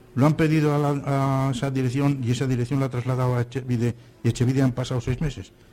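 At a very fast pace, a man speaks at medium pitch, somewhat breathy and with a dark, mellow tone. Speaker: senior radio workshop panelist. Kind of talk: casual radio panel chat.

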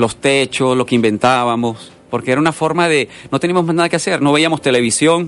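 This man has a plain, everyday voice, fairly high in pitch with ordinary pitch variation. He talks at a fairly quick pace with very even loudness and hardly any pauses. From Venezuela. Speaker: painter. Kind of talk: radio interview. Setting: radio studio.

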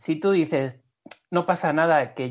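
A man talks at a moderate pace in an ordinary speaking voice. His intonation stays fairly even. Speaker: basketball podcast co-host. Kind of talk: casual chat.

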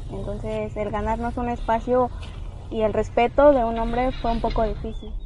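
Heard through noticeable background noise and audible room echo, the speaker keeps a moderate pace. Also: woman. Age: young. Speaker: lawyer and abuse survivor. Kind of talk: testimony.

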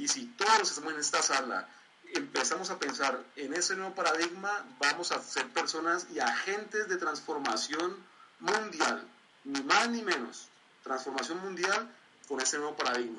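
A high-pitched man at a moderate pace, lively intonation, noticeable background noise. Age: 20s. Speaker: community leader and motivational trainer. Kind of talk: online training presentation.

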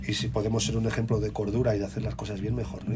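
Music plays behind a man with a fairly low pitch who talks at a very fast pace, with audible room echo. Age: 40s. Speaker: DJ and radio music director. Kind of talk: interview.

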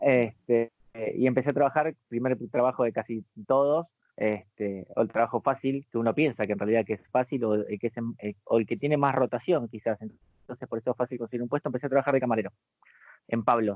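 Fairly quick pacing, medium pitch and ordinary pitch variation from a man with an unremarkable speaking voice. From Argentina, Buenos Aires. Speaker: bartender. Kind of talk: interview.

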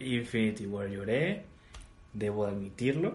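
Audible room echo surrounds a man whose somewhat breathy voice sits at a medium pitch with ordinary pitch variation. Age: 20s. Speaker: podcast host. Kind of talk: casual chat.

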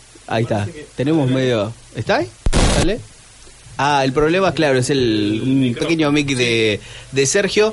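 Lively intonation at a moderate pace with long, frequent pauses, over noticeable background noise. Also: man, medium pitch for a man. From Argentina. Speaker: radio host. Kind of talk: casual chat.

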